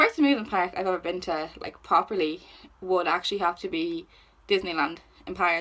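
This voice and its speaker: A woman talks with an Irish accent. Her pitch is medium and her pace moderate. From Ireland. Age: 20s. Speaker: YouTuber. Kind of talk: casual chat. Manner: animated.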